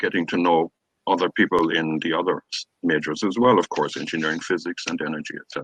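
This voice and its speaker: A man with an Irish accent talking very fast, dry and close with no echo. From Ireland. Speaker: professor. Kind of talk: orientation talk. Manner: hesitant with fillers.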